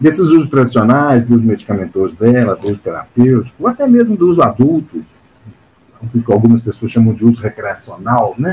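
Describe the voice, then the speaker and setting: This man's medium-pitched voice has a dark, mellow tone, sounds somewhat breathy, and moves at a moderate pace with lively intonation. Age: 50s. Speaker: psychologist and activist. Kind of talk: interview. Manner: hesitant, many fillers.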